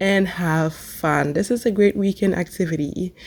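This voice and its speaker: A woman's fairly slow delivery at medium pitch, ordinary in its pitch variation, against noticeable background noise. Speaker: cooking channel host. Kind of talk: tutorial.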